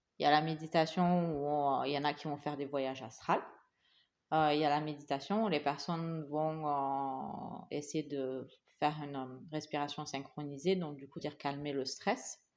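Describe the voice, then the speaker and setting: Her intonation stays fairly even as this woman speaks with a very deep, low pitch. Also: moderate pace. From Asia. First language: English (speaking French). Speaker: podcast co-host. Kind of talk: casual chat. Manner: halting.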